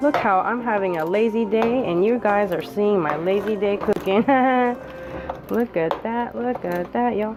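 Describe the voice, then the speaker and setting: A woman speaks at a moderate pace with a fairly high pitch and ordinary pitch variation. Noticeable background noise is present. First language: Japanese. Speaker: cooking video host. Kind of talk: cooking tutorial. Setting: home kitchen. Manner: casual, chatty.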